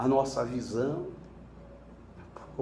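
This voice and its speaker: Audible room echo follows a man as he speaks at a very slow pace. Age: 70s. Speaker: spiritist lecturer. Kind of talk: sermon. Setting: spiritist center lecture with audience.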